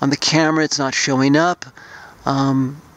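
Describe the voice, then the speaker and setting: A man talks at a moderate pace in a monotone, flat intonation, with a dry sound and no echo. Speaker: night-sky vlogger. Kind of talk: casual vlog chat. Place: open country. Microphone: phone near.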